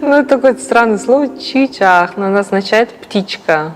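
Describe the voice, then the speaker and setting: A woman's moderate pace and ordinary pitch variation come through over noticeable background noise. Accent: Yakutian. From Yakutia, Russia. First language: Yakut (speaking Russian). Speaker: performance artist. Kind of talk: documentary interview.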